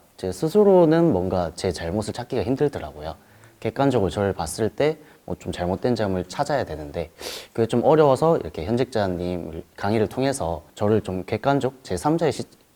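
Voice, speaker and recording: Fairly low male voice in a Gyeongsang accent, dark and mellow in tone, with very wide pitch swings, a fairly quick pace, and a very clean recording with a silent background. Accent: Gyeongsang dialect, noticeable. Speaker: job applicant, interviewee. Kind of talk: interview.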